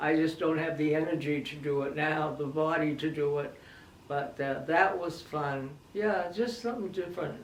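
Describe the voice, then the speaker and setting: Noticeable background noise surrounds a woman speaking at a moderate pace. Her pitch is very deep and low, with ordinary pitch variation. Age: 80s+. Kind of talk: interview answer.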